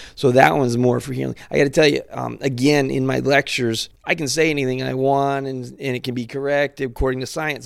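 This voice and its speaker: Using a plain, everyday voice, a man speaks fairly quickly at a medium pitch with fairly even intonation. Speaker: natural products company representative. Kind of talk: casual interview.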